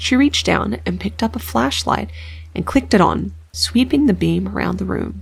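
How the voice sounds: The voice reads aloud. It is a natural reading voice.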